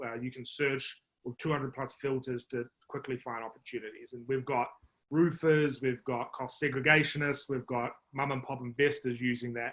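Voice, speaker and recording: Monotone and flat, a man speaks at a moderate pace. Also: medium pitch for a man. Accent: New Zealand. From New Zealand. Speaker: marketing executive. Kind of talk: podcast interview. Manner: hesitant, many fillers.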